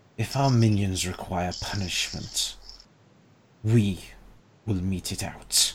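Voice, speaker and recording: A man's put-on character voice, whispering in a menacing tone at a fairly slow pace, with long, frequent pauses. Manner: whispering, menacing.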